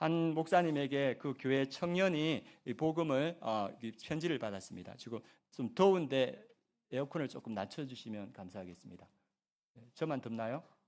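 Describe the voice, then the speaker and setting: Recorded very cleanly with a silent background, a man with a fairly high pitch talks with lively intonation and big swings in loudness. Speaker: pastor. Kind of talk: sermon. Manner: fast.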